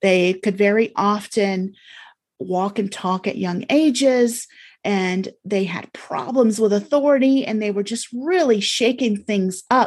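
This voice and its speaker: In an ordinary speaking voice of medium pitch, a woman talks at a fairly slow pace with ordinary pitch variation. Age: 50s. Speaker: energy healer and hypnotherapist. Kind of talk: casual interview conversation.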